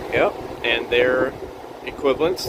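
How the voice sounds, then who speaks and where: A man talks over noticeable background noise. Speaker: electronics repair hobbyist. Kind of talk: casual tutorial. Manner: halting.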